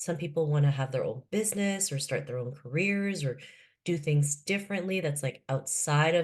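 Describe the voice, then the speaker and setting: A woman with a Canadian accent, very deep and low in pitch, somewhat breathy, at a moderate pace with ordinary pitch variation, over a quiet background. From Canada, Toronto (moved from Philippines at 7). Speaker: author and keynote speaker. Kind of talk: podcast interview.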